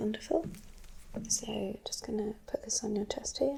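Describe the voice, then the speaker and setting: A soft-spoken woman talks in a gentle tone at a fairly slow pace. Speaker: ASMR creator playing a doctor. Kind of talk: ASMR medical roleplay, personal attention. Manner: soft-spoken, gentle.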